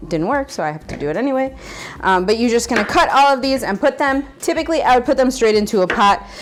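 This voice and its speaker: Amid noticeable background noise, a woman with a high pitch speaks in an animated tone with lively intonation. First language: Spanish. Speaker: cooking channel host. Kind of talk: cooking tutorial.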